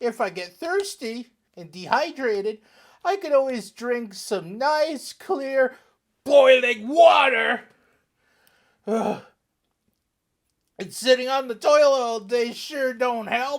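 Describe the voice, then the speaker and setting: A woman uses a cartoonish character voice at a high pitch. She speaks at a fairly slow pace with long, frequent pauses. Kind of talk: comedy sketch. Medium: puppet.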